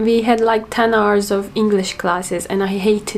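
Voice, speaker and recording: At a moderate pace, a woman with a Turkish accent speaks at medium pitch in a monotone, flat intonation. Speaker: language learner vlogger. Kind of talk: casual monologue.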